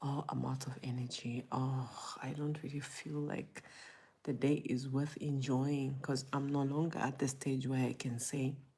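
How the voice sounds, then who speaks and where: A woman's very deep, low, somewhat breathy voice, dark and mellow in tone, with monotone, flat intonation at a fairly slow pace. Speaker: motivational vlogger. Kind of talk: personal testimony. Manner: hesitant, halting.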